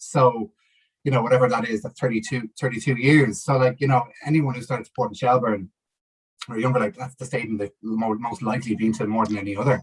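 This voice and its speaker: Someone with a Dublin accent speaks at a very fast pace in a somewhat breathy voice with fairly even intonation. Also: man, medium pitch for a man. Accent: Dublin Irish. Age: 30s. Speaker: football campaigner. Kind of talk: casual interview. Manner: halting, many fillers.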